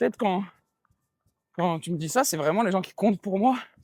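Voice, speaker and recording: A man talks very fast in a high voice. The sound is dry and close, with no echo. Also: long, frequent pauses. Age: 20s. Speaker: podcast co-host. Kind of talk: casual chat. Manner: halting.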